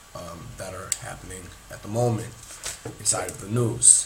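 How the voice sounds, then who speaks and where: Audible room echo and noticeable background noise surround a man speaking at a medium pitch. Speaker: podcast host. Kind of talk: casual monologue podcast. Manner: casual, filler-heavy.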